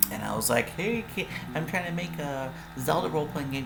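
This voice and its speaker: A man talks at a moderate pace, music playing behind him and room echo clearly audible. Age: 40s. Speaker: tabletop game designer and YouTuber. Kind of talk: casual monologue. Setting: livestream. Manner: casual, halting with fillers.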